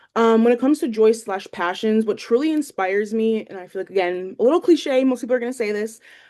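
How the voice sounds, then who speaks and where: Speaking very fast with hardly any pauses, a woman with a northeastern Pennsylvania accent uses a fairly high pitch and a dark, mellow tone, her loudness swinging widely against a quiet background. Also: ordinary pitch variation. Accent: northeastern Pennsylvania American. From northeastern Pennsylvania, Lackawanna County. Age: 20s. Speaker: student teacher. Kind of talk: class introduction video. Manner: hesitant, many fillers.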